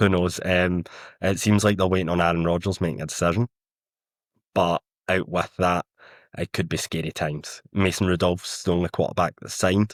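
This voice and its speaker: A man's very deep, low voice in a strong Scottish accent, monotone and flat, at a fairly quick pace with long, frequent pauses, in a dry, close sound with no echo. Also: very clean recording, silent background. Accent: thick Scottish. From Scotland. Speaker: football writer. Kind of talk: podcast discussion.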